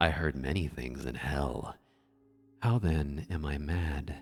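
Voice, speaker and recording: Very deep and low, this man's voice carries vocal fry and ordinary pitch variation on a very clean recording with a silent background. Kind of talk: scary story reading, soft-spoken ASMR narration. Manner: soft-spoken.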